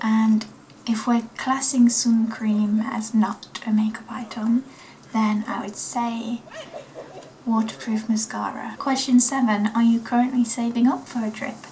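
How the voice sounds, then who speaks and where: Against noticeable background noise, a woman with a fairly high pitch speaks at a fairly slow pace in a flat monotone. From East Midlands of England (Nottingham). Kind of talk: casual vlog chat.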